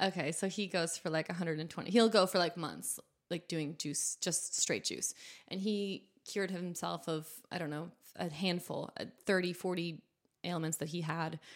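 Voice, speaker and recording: A woman with a normal speaking voice and an American accent talks at a moderate pace, her pitch fairly low and her intonation fairly even. The recording is very clean, with a silent background. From New Hampshire, US. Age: young. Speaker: food entrepreneur. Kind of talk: casual interview.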